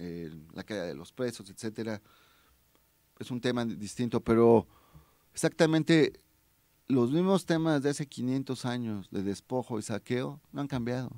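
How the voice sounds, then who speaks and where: A dark, mellow tone with lively intonation, a fairly slow pace, and long, frequent pauses over a quiet background. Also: man, dry sound with no echo. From Mexico, Tehuacán, Puebla; Puebla, Mexico. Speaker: human rights and labor activist; guest. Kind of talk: radio interview. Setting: radio studio. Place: studio. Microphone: studio mic.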